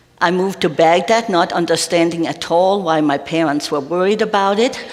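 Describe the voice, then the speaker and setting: A woman with a Danish accent speaks fairly quickly at a fairly low pitch, with ordinary pitch variation. Noticeable background noise and audible room echo are present. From Denmark. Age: old. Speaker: retired minister. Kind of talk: interview in church service.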